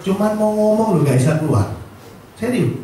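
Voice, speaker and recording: A man's animated voice with lively intonation at a fairly quick pace, plus audible room echo and noticeable background noise. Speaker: motivational speaker at insurance agent seminar. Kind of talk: motivational seminar talk. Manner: animated, audience-engaging; fluent on familiar topic.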